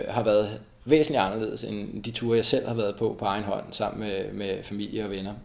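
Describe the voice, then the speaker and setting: There is audible room echo around a man's voice. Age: 40s. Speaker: co-founder of a running community. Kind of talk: interview. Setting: at home. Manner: halting, many fillers and repetitions.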